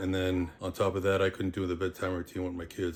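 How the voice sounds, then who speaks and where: A man talks at a fairly quick pace in a very deep, low voice with monotone, flat intonation. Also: very clean recording, silent background. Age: 60s. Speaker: strength coach. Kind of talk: casual talk to camera. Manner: direct, blunt.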